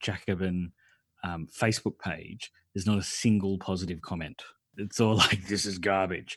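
A fairly low-pitched man's voice with an Australian accent, ordinary pitch variation and a moderate pace, on a very clean recording with a silent background. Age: 40s. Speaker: podcaster. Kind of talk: casual chat.

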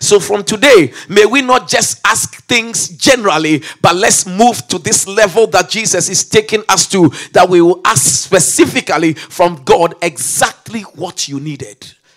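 A man at a high pitch with lively intonation and a fairly slow pace, music in the background. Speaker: bishop and preacher. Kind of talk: fervent prayer, leading a congregation in intercession; sermon. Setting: church service. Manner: impassioned, pleading, rising urgently and rhythmically; sermonic, declarative with call-and-response shouts of amen.

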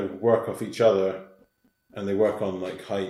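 A man's fairly low voice holds a monotone, flat intonation. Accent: Scottish. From Scottish Highlands. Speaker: hill walker. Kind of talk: casual interview chat.

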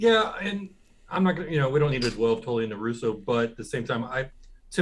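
Lively intonation in a man's voice of medium pitch. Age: 40s. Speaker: wrestling podcast co-host. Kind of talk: casual chat.

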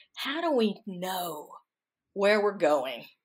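A woman talks in a Southern US accent. Her pace is very slow. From US South, Mississippi Delta. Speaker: author and historian. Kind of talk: interview.

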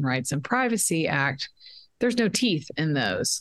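A woman with an American accent, fairly low-pitched, her pitch swinging very widely. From Texas, Dallas. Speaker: education activist. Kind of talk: interview. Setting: remote call from a quiet room.

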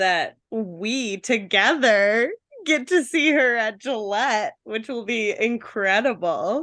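Her pitch fairly high and her tone bright and sharp, a woman speaks at a very slow pace. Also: lively intonation. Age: 20s. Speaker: podcast co-host. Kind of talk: casual chat. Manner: animated.

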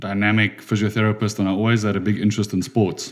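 A man with a South African accent and a fairly low pitch. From South Africa, Durban. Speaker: physiotherapist. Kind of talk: podcast interview.

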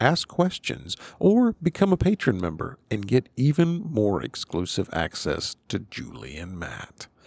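The voice moves at a fairly slow pace with vocal fry and very wide pitch swings. The sound is dry and close, with no echo. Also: man. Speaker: podcast host. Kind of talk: casual chat.

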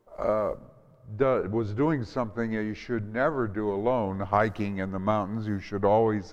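Someone reads in an unforced reading voice.

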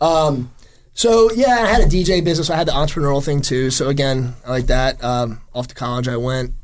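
Using a normal speaking voice, a man with an American accent talks at a fairly quick pace, his pitch fairly high and his intonation lively. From New Jersey (Jersey Shore). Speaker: chef and restaurant owner. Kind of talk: interview. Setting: studio.

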